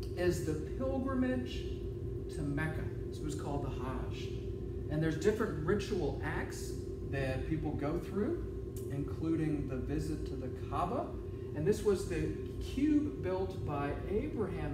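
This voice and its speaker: A man talks at a fairly slow pace, leaving long, frequent pauses. Loud background noise and audible room echo fill the recording. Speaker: teacher or presenter. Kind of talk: lecture. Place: classroom. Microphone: camera far.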